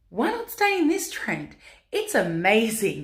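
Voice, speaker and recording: Audible room echo hangs around this recording. The speaker is a woman with a fairly high pitch. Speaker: vlogger, pin-up model. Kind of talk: casual Q&A vlog. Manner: loud.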